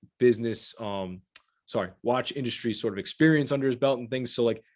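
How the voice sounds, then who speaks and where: The speech moves at a fairly quick pace on a very clean recording with a silent background. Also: man. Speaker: watch podcast host. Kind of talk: casual chat. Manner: fast.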